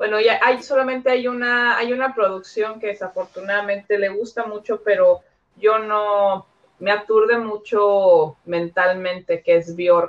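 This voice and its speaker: This is an ordinary speaking voice at a fairly slow pace. The intonation stays fairly even. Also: woman, medium pitch for a woman. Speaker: Mexican expat guest. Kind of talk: casual chat.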